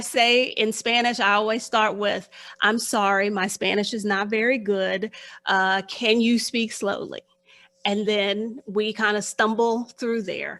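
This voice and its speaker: A woman with an ordinary speaking voice, fairly high pitch, fairly even intonation and a fairly slow pace, on a very clean recording with a silent background. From Texas, Houston. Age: 50s. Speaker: financial life coach. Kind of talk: interview.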